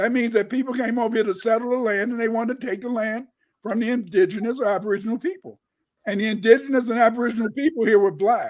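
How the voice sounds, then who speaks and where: In an American accent, a man with an extremely high voice speaks very fast in an animated tone with ordinary pitch variation. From Chicago, US Midwest. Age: 70s. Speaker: historian. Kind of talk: casual chat.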